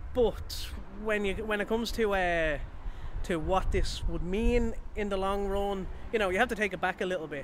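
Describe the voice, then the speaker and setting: A man with a Dublin accent talks at a fairly quick pace with ordinary pitch variation. The sound is dry with no echo, with noticeable background noise. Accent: Irish, Dublin. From Ireland. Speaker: football fan. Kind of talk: interview. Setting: outdoors. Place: street. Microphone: handheld.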